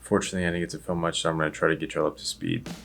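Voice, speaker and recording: Over background music, a man with a very deep, low pitch speaks in a fairly even intonation. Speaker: vlogger and web designer. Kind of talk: casual vlog narration. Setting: office. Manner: quiet.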